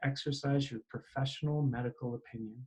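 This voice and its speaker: A man's somewhat breathy, fairly high voice with a dark, mellow tone and fairly even intonation. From Canada. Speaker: continuing education director, telemedicine expert. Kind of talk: interview.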